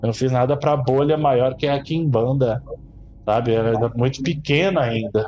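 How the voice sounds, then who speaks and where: A man talks at a medium pitch with an unremarkable speaking voice. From São Paulo, with childhood in Brazil's Northeast. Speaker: Quimbanda priest. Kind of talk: interview conversation.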